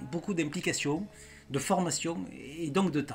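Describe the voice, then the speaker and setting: The speaker is a man with a high voice. He talks in a southern French accent. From southern France. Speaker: YouTuber. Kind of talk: farewell video monologue.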